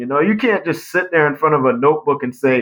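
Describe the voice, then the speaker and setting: Very wide pitch swings run through the fairly high voice of a man. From St. Lucia, raised in Ithaca, New York. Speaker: inventor and business owner. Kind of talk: interview. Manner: casual.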